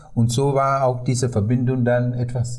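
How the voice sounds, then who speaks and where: In a Sri Lankan accent, a man with a medium pitch speaks at a fairly slow pace, with audible room echo. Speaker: tour guide. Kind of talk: interview. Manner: halting with many fillers.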